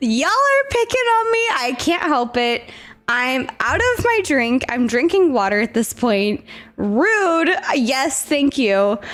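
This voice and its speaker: Her high-pitched voice moves very slowly, with very wide pitch swings and very even loudness. A woman is speaking over noticeable background noise. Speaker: gaming stream host. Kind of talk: casual chat.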